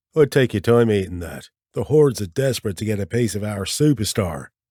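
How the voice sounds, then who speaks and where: A man puts on a raspy character voice, fairly low in pitch, with lively intonation at a fairly quick pace. The sound is dry and close, with no echo. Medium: read story.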